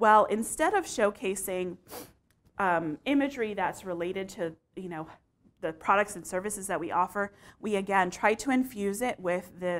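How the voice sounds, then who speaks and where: A woman speaks with an American accent at a moderate pace. Her pitch is medium, with ordinary variation. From Texas, San Antonio; Texas. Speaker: marketing communications manager; conference presenter. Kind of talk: conference talk; presentation talk. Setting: stage with audience. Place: classroom. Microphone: lapel.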